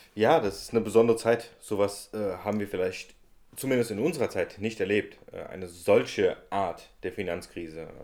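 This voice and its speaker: A man speaks at a moderate pace and fairly low pitch with ordinary pitch variation. It is an unremarkable speaking voice, with big swings in loudness. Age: 20s. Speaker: podcast host and political candidate. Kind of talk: casual interview.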